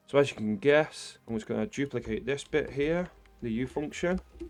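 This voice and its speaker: Against a quiet background, a man speaks at a fairly quick pace. His intonation is lively. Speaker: programming tutorial creator. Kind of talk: tutorial. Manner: fast.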